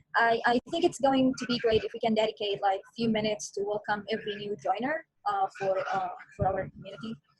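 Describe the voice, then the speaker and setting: A woman's fairly high, somewhat breathy voice with an Arabic accent, at a very fast pace with big swings in loudness. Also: ordinary pitch variation. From Palestine. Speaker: online community member. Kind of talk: group video meeting discussion. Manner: hesitant, many fillers.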